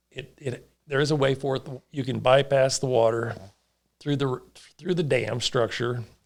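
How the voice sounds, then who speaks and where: There's vocal fry in this man's voice as he speaks at a moderate pace with fairly even intonation. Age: 60s. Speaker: farmer and water board member. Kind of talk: casual interview.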